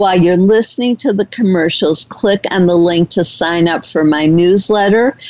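A woman speaks in an ordinary speaking voice, medium in pitch with ordinary variation. Her loudness stays very even, and she keeps a moderate pace with hardly any pauses. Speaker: radio host. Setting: radio studio, internet talk radio.

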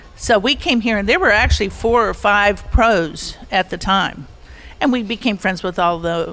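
Someone speaks fairly slowly in an ordinary speaking voice, with ordinary pitch variation. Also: woman. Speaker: long-time resort guest. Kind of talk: reminiscing storytelling.

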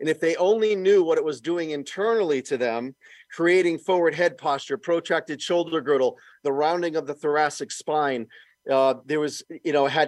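In a normal speaking voice, a man with fairly high pitch and ordinary pitch variation talks at a moderate pace, with a dry, close sound with no echo and a quiet background. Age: 60s. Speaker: fitness equipment inventor and former personal trainer. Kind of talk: casual interview.

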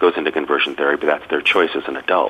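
A man speaks with an American accent. Noticeable background noise runs under his voice. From Massachusetts, US. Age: 50s. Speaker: author and food writer. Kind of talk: radio interview.

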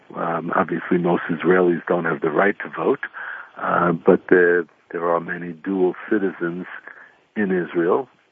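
A man with an American accent speaks in a very deep, low voice. His delivery is monotone and flat, at a fairly slow pace. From New York. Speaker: former mayor and author. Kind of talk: radio interview. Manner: halting, many repeated words.

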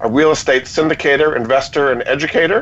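Words come at a moderate pace. It is an unremarkable speaking voice. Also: man. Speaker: radio show host. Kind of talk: radio interview.

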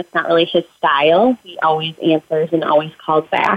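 A woman speaks in a plain, everyday voice with an American accent. Her pitch is fairly low, and her pace is moderate. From Minnesota. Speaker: widow and high school counselor. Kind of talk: interview testimony.

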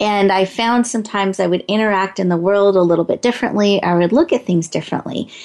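The delivery is fast, with a slightly mellow tone and ordinary pitch variation. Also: woman, medium pitch for a woman.

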